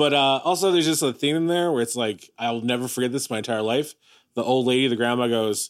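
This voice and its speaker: A man talks at a very fast pace with lively intonation and an animated tone. The recording is very clean, with a silent background. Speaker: podcast co-host. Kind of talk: casual comedic chat. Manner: animated, joking.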